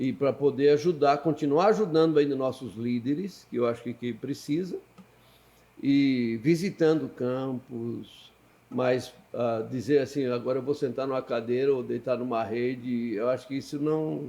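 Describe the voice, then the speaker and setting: At a fairly slow pace, a man speaks at medium pitch in a dark, mellow tone with ordinary pitch variation. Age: 70s. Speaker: pastor and missionary. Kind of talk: podcast interview.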